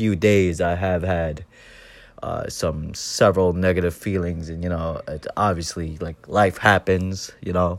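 Over a silent background in a very clean recording, a man with a very deep, low pitch speaks at a fairly slow pace. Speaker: first-time podcaster. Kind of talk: personal monologue. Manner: halting; quiet.

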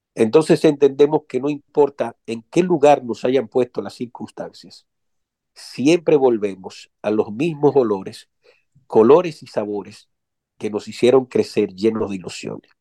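Big swings in loudness mark a man's medium-pitched, dark and mellow voice as he speaks at a fairly slow pace in a dry, close sound with no echo. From Dominican Republic. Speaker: writer and poet. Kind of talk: interview.

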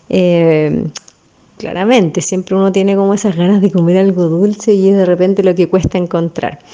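Speaking with a Chilean accent, a woman keeps a moderate pace, a medium pitch, very even loudness and a monotone, flat intonation. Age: 40s. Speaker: dance teacher. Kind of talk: interview.

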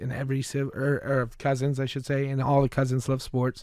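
The recording is very clean and the background silent. It carries a man's voice at a medium pitch. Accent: Midwestern US. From Michigan, then Fort Wayne, Indiana. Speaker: sports podcast co-host. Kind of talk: casual chat.

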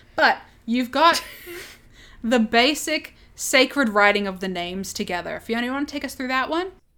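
Using an Australian accent, a woman with a high voice talks at a moderate pace with lively intonation and long, frequent pauses. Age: 20s. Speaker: podcast co-host. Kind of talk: casual chat.

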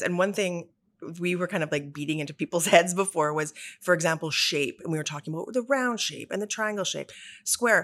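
A woman's normal speaking voice, fairly low and fairly quick, with ordinary pitch variation, in a very clean recording with a silent background. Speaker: podcast host, salon education director. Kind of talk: interview, casual chat.

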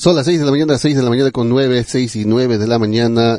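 A man's medium-pitched voice with ordinary pitch variation and a dark, mellow tone, with a dry, close sound and no echo. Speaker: radio host. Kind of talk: morning radio show. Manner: repeats time checks, announcer style.

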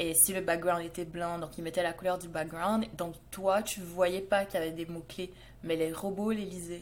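A woman speaks at a moderate pace with a slight Canadian French accent. Her pitch sits fairly low, and her intonation stays flat and monotone. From Montreal, Quebec. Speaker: SEO expert, podcast co-host. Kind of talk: casual chat.

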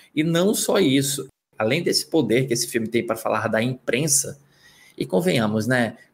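Recorded very cleanly against a silent background, a man's medium-pitched voice sounds somewhat breathy, with very even loudness. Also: moderate pace. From Northeast Brazil. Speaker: film critic. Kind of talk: casual panel discussion.

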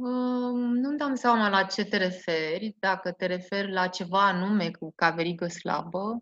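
With hardly any pauses, a woman speaks at a fairly slow pace in a medium pitch, using ordinary pitch variation. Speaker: school principal. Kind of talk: interview. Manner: hesitant, with fillers.

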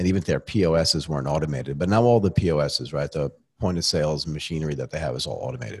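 Talking at a very fast pace with lively intonation and vocal fry, a man is heard in a very clean recording with a silent background. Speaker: podcast host. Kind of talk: casual interview chat. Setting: studio.

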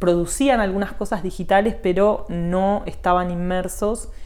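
A woman's voice carries audible room echo. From Argentina, Buenos Aires area (Morón). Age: 40s. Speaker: digital marketing teacher and consultant. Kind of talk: interview.

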